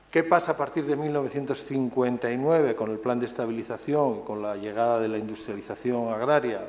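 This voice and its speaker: The voice belongs to a man. His pitch is medium, with ordinary variation. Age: 60s. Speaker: author and conference speaker. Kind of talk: conference talk. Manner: hesitant, many fillers and repetitions.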